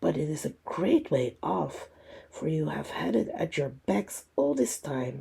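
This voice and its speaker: A man puts on a character voice that is raspy, at a medium pitch. He speaks at a fairly slow pace. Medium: read story.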